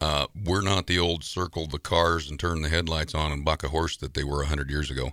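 A bright, sharp voice with vocal fry moves at a fairly quick pace and fairly even intonation on a very clean recording with a silent background. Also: man. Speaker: rodeo announcer. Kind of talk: casual interview conversation. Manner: warm, folksy.

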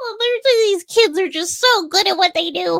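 In a put-on character voice at an extremely high pitch, the speaker talks at a moderate pace. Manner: fond, doting.

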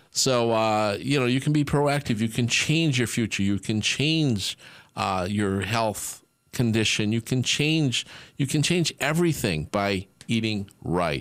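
With an ordinary speaking voice, a man at medium pitch talks fairly slowly with lively intonation and very even loudness, in a very clean recording with a silent background. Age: 60s. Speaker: radio host and supplement formulator. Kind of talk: casual chat.

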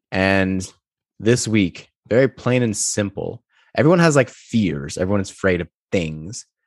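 A man with an ordinary speaking voice talks at a fairly slow pace in a fairly low pitch, his intonation lively, recorded dry and close with no echo against a quiet background. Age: 20s. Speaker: sneaker podcast host. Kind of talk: casual chat.

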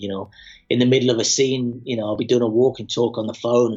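Speaking very fast, a man uses an English accent at a medium pitch. His intonation stays monotone and flat. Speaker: actor. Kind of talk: casual chat.

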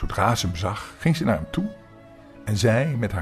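The voice reads in a natural manner.

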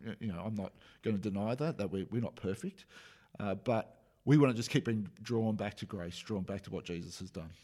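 In a very clean recording with a silent background, a man speaks with a dark, mellow tone at a fairly low pitch. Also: ordinary pitch variation, fairly quick pace. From Australia. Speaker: pastor. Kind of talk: casual chat.

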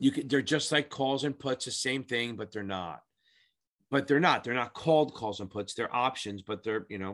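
Against a quiet background, a man at medium pitch speaks in an animated tone with ordinary pitch variation. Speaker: exam prep tutor. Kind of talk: tutorial. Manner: fast.

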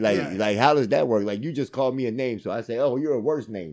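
In an American accent, a man uses a normal speaking voice at a medium pitch with lively intonation and a fairly quick pace. The recording is very clean, with a silent background. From US Northeast (Philadelphia area, Pennsylvania). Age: 40s. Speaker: podcast guest, old friend of host. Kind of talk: casual chat.

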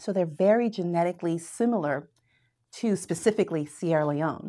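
In a very clean recording with a silent background, a woman with a fairly low pitch and a dark, mellow tone speaks fairly quickly with lively intonation. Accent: American. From Florida, US. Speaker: math professor. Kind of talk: casual interview.

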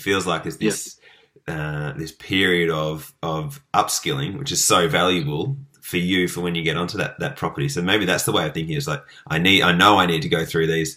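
Bright and sharp in tone, the voice moves at a fairly quick pace with ordinary pitch variation in an Australian accent. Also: man, very deep, low pitch for a man. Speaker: podcast host. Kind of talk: interview.

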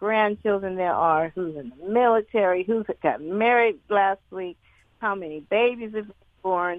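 Speaking at a fairly slow pace, a woman talks with a Southern US accent. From US South. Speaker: caller. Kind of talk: call-in talk radio. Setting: phone call.

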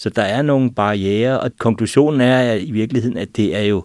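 This man has a plain, everyday voice with ordinary pitch variation. He speaks at a moderate pace over a quiet background. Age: 50s. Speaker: vision consultant. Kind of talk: panel discussion. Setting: studio.

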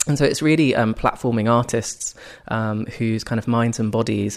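On a very clean recording with a silent background, a man speaks at a fairly quick pace in an unremarkable speaking voice, medium in pitch. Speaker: arts organisation founder. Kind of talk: casual interview conversation.

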